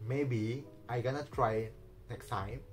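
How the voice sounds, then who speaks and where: Very slow, fairly even speech in an Indonesian accent, with music in the background. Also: man. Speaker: vlogger. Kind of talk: casual vlog talk. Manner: halting.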